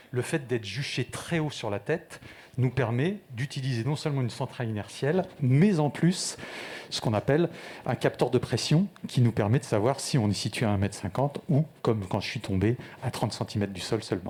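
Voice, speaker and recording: A man's somewhat breathy, medium-pitched voice with lively intonation at a moderate pace. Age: 60s. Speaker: startup founder. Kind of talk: pitch presentation.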